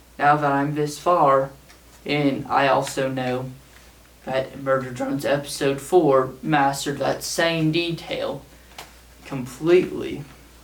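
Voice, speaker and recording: A man speaks in a flat monotone at a very slow pace. Room echo is audible and background noise is noticeable. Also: fairly high pitch for a man. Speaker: small YouTuber, show commentator. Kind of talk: scripted video essay read aloud. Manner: read from a script.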